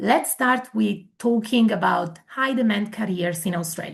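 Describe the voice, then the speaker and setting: A somewhat breathy woman with an Italian accent, at a moderate pace with ordinary pitch variation, against a quiet background. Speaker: migration agent. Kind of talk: webinar presentation.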